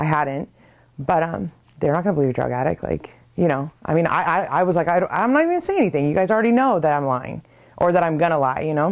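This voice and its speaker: This woman talks at a very fast pace, her fairly low voice carrying lively intonation. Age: 30s. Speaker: recovering addict sharing her story. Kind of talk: testimony. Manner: halting, many filler words.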